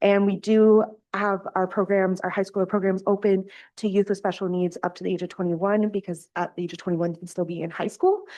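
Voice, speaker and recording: Over a quiet background, a woman with a Canadian accent speaks at a medium pitch in a dark, mellow tone. Her intonation is monotone and flat, and her pace fairly quick. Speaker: youth program supervisor. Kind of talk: presentation to council. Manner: loud.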